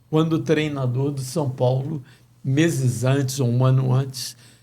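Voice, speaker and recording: This man's voice has a dark, mellow tone and is somewhat breathy. He talks at a fairly slow pace. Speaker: sports radio announcer. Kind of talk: interview answer.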